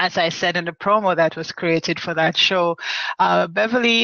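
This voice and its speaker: In a Jamaican accent, a woman with a fairly low pitch speaks at a moderate pace with fairly even intonation. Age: 50s. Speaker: online talk show host, women's group founder. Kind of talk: casual live-stream monologue. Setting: live video chat. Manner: halting, many fillers and repetitions.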